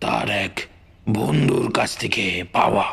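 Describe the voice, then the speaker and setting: A man performs in a put-on character voice. His pace is very slow. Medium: read story. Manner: warm but commanding.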